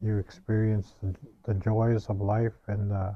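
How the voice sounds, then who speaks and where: The man's voice is fairly low and somewhat breathy. He talks at a very slow pace with monotone, flat intonation. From northwestern Ontario, Canada (First Nations). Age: 60s. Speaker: residential school survivor, elder. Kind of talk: personal testimony. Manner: halting, with frequent fillers and repetitions.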